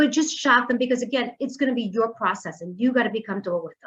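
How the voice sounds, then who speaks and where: With a New York accent, a woman talks very fast at a fairly high pitch with lively intonation. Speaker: mortgage lender. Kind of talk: presentation.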